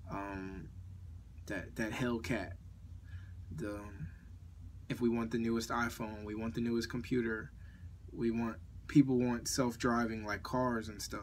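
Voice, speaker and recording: At a fairly slow pace with long, frequent pauses, a man speaks at a medium pitch with fairly even intonation, and audible room echo can be heard. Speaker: morning show host. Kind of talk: live audio show monologue. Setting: at home, live audio app. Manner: halting, self-correcting.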